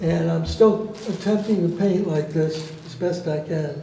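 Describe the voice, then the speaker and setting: A man with a high-pitched voice speaks at a fairly slow pace in a fairly even intonation, with noticeable background noise. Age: 80s+. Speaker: artist. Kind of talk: artist talk presenting own works.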